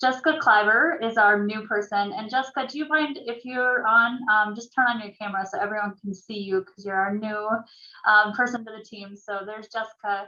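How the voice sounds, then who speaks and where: A woman speaks at a fairly quick pace with a Minnesotan accent, her pitch fairly high and its variation ordinary. Her loudness swings widely. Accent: Minnesota. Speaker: realtor association staff presenter. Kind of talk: orientation presentation. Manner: hesitant, many fillers.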